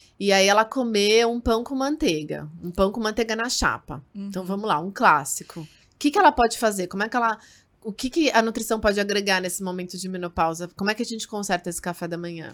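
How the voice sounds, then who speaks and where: Here a woman of medium pitch speaks very fast. Her pitch varies in an ordinary way. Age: 30s. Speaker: nutritionist podcast host. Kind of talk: casual interview.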